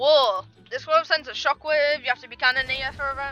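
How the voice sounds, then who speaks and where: A man's raised, projected voice at a moderate pace, with music in the background. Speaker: gaming youtuber. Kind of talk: gameplay commentary. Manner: casual, halting.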